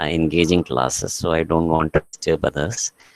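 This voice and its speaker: A soft-spoken man, recorded with a dry, close sound and no echo. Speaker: college English teacher. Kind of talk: online class lecture. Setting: online class from a staff room. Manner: soft-spoken, kept low; halting, many fillers.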